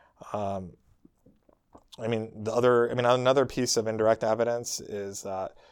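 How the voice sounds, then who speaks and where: An ordinary speaking voice at a moderate pace, with fairly even intonation. The recording is very clean, with a silent background. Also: man. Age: 40s. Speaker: scientist and author. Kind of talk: interview.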